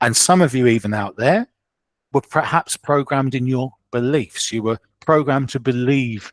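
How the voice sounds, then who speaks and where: In a very clean recording with a silent background and a dry, close sound with no echo, a man talks at a moderate pace with ordinary pitch variation. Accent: southeast English. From southeast England, Kent. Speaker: clairvoyant medium. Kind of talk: podcast interview.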